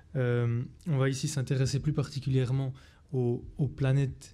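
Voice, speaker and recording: In a Swiss accent, a man speaks at a moderate pace and medium pitch, his tone dark and mellow, somewhat breathy, and flat and monotone in intonation. The recording is very clean with a silent background. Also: very even loudness. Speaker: astrophysicist. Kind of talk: lecture.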